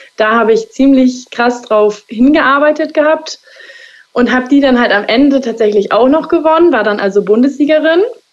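Speaking at a moderate pace, a woman with a high pitch keeps very even loudness and ordinary pitch variation. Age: 20s. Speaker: hairdresser. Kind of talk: interview.

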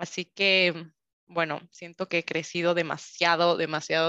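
Set against a quiet background, this dry, close recording with no echo carries a bright, sharp tone delivered at a fairly slow pace in a monotone, flat intonation. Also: woman. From Ecuador, Quito. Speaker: podcast host and health coach. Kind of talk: unscripted solo monologue. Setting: home recording over Zoom.

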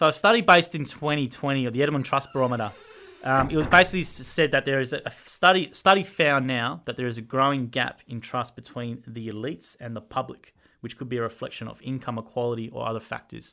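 A man's bright, sharp voice in an Australian accent, medium in pitch, at a very fast pace with big swings in loudness. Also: ordinary pitch variation. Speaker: podcast co-host. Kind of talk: casual chat.

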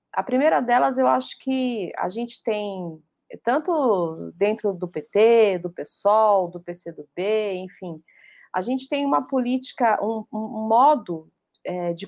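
A woman speaks at a very slow pace. Her fairly high pitch carries lively intonation. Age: 40s. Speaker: journalist. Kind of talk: online panel debate. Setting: online live stream.

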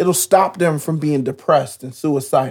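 A man talks in an animated tone that is somewhat breathy. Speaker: podcast host. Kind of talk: casual conversation about faith. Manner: animated, preacher-like.

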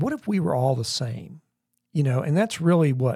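On a very clean recording with a silent background, a man speaks at a fairly high pitch and a moderate pace. His tone is dark and mellow, somewhat breathy, with lively intonation. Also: dry, close sound with no echo. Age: 60s. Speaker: church member co-hosting podcast. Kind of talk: casual chat.

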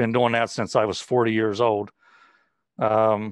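An unremarkable speaking voice with an American accent at a moderate pace, quiet background. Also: man. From West Virginia. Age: 60s. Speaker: cancer patient and fitness instructor. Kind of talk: interview testimony.

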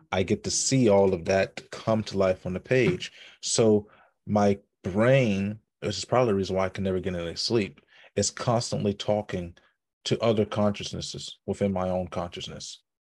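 Here is a man with an ordinary speaking voice, fairly low in pitch and fairly even in intonation. He talks at a moderate pace against a quiet background. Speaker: podcast host. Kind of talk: casual chat.

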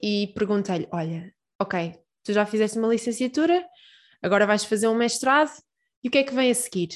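A woman with medium pitch talks at a moderate pace. Her intonation is lively. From Portugal, Peniche. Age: 20s. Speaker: PhD student and science communicator. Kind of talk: interview. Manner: hesitant with repetitions.

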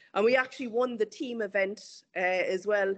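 With an Irish accent, a woman talks using fairly even intonation. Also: quiet background. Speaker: amateur runner and former tennis player. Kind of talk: interview.

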